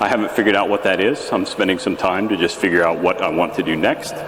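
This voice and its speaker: A man speaks at a fairly low pitch. The room echoes audibly and background noise is noticeable. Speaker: geologist giving a conference talk. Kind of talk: lecture. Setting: stage with audience. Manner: halting, with many fillers.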